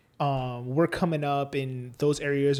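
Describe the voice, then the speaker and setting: There is noticeable background noise. Through it, a man talks. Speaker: rapper. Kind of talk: casual chat. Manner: animated.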